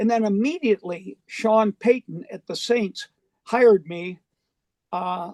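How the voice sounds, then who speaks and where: A man speaks with an American accent, high-pitched and fairly slow, with fairly even intonation. The sound is dry and close with no echo. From western New York, Buffalo area. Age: 70s. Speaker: retired football coach. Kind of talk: interview. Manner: halting.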